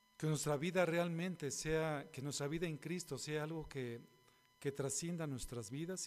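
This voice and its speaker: An unremarkable speaking voice from a man, fairly high in pitch, with ordinary pitch variation and a fairly slow pace. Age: 50s. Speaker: pastor. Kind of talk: sermon.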